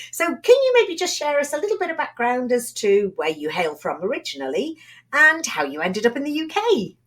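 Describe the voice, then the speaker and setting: This woman has a British accent. She speaks at a fairly quick pace. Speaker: podcast host. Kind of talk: interview.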